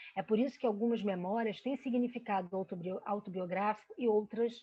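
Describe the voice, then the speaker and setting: A somewhat breathy woman with a fairly high pitch. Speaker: researcher presenting study. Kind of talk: academic lecture presentation. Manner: hesitant with fillers.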